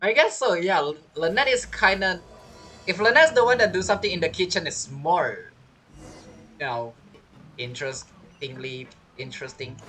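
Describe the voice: The tone is fairly bright with a slightly husky edge. Intonation is lively and the pace moderate.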